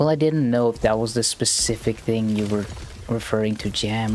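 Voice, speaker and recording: Moderate pace against noticeable background noise. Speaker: streamer. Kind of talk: live gameplay commentary. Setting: live stream. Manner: casual, chatty.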